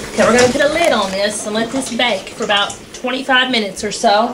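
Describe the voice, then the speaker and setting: With light background noise, a woman talks at a fairly quick pace with ordinary pitch variation. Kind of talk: tutorial. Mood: relaxed and friendly. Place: kitchen.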